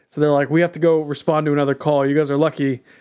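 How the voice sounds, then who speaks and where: On a very clean recording with a silent background, a man with an American accent talks fairly quickly in an ordinary speaking voice at a fairly high pitch. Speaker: podcast co-host. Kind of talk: casual chat.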